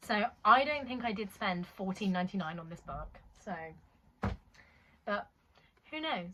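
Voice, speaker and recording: Bright and sharp in tone, this voice with a British accent has big swings in loudness and long, frequent pauses. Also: woman, medium pitch for a woman, lively intonation, fairly slow pace. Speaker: booktuber. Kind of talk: casual book haul vlog.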